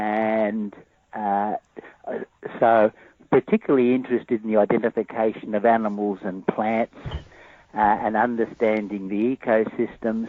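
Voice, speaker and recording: Speaking with an Australian accent, a man with a fairly low pitch talks at a moderate pace in a monotone, flat intonation, leaving long, frequent pauses. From Australia, Sydney. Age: 70s. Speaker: cryptozoologist and ecologist. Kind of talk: interview. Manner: halting, many fillers.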